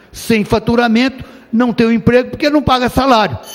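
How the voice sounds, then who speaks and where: At a moderate pace, a man speaks in an extremely high pitch over noticeable background noise. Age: 70s. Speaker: state legislator. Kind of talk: parliamentary speech.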